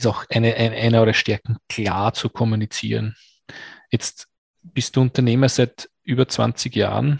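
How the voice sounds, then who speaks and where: A somewhat breathy man at medium pitch, flat and monotone, with very even loudness and a dry, close sound with no echo. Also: fairly slow pace. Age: 40s. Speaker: podcast host. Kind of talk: interview.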